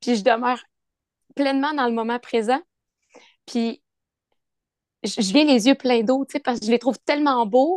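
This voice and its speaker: Her voice is high-pitched with ordinary pitch variation, and the woman takes long, frequent pauses in a dry, close sound with no echo over a quiet background. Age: 30s. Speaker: yoga teacher. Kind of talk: casual chat.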